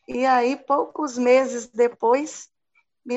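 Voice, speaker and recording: This is a woman speaking. Her pitch is high. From Montes Claros, northern Minas Gerais. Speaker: esthetician and nutrition distributor. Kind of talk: casual group chat.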